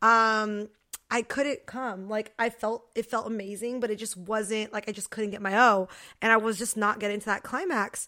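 A woman with a fairly high pitch speaks loudly at a moderate pace, her tone animated, bright and sharp. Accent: American. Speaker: podcast co-host. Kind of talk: casual chat. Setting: studio.

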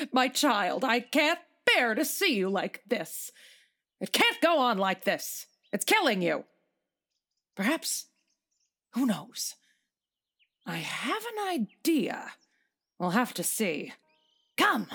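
A woman's high voice at a fairly slow pace, with very wide pitch swings and long, frequent pauses. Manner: motherly, pitying, then resolute.

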